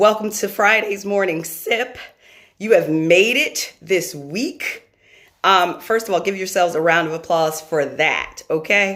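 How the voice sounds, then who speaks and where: A woman speaks at a fairly slow pace in a medium pitch, her tone bright and sharp with ordinary pitch variation. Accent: American. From New York. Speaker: motivational speaker and live stream host. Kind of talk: motivational live stream talk. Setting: live video stream. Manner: loud; animated.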